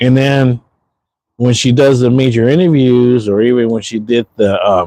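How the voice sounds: A man talks at a moderate pace, his pitch medium. His tone is dark and mellow, with fairly even intonation.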